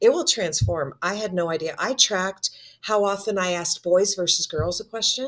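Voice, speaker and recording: A woman talks at a moderate pace in a normal speaking voice, with a medium pitch and ordinary pitch variation. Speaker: instructional coach. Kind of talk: casual chat.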